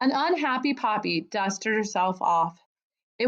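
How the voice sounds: The speaker uses a natural reading voice with lively intonation. Behind it, the background is quiet.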